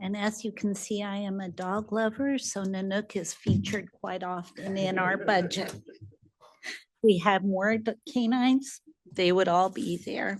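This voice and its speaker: Speaking at a fairly slow pace, a woman has an unremarkable speaking voice, medium in pitch, with fairly even intonation. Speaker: city finance staff. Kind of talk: budget meeting presentation.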